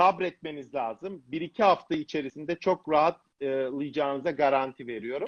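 Here a man has an unremarkable speaking voice at a fairly high pitch, with ordinary pitch variation. He keeps a moderate pace with hardly any pauses. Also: dry, close sound with no echo. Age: 50s. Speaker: cardiovascular surgeon. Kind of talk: casual chat.

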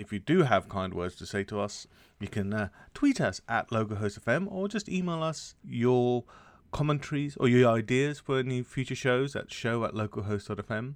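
In a quiet background, a man with an English accent speaks at a medium pitch with lively intonation. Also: moderate pace. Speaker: podcast co-host, developer. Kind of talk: casual chat.

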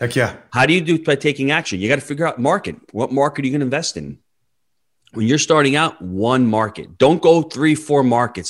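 A man with an American accent talks at a fairly quick pace, his fairly high voice showing vocal fry and ordinary pitch variation. The recording is very clean with a silent background. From New York. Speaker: real estate investor. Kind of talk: interview.

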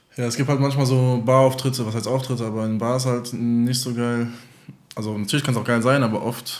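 Audible room echo surrounds a man of medium pitch who talks at a very fast pace with fairly even intonation. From Germany, Offenbach area (Hesse). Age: 20s. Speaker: DJ. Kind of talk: casual chat.

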